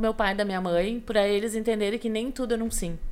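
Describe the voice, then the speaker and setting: Here a woman is speaking. Her pace is very fast. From Rio Grande do Sul, Brazil (western frontier, Alegrete). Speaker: podcast guest telling her life story. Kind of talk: casual interview chat.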